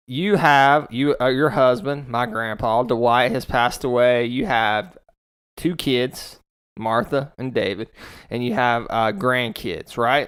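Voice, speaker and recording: The recording is very clean, with a silent background. A man speaks at medium pitch with ordinary pitch variation. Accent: American. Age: 30s. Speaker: podcast host. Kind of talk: casual interview. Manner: halting.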